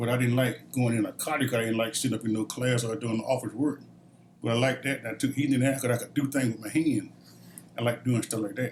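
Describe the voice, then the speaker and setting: At a very fast pace, a man with an American accent speaks at medium pitch in a somewhat breathy voice with monotone, flat intonation. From Georgia, US. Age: 70s. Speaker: Vietnam War veteran, retired corrections officer. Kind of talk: interview answer.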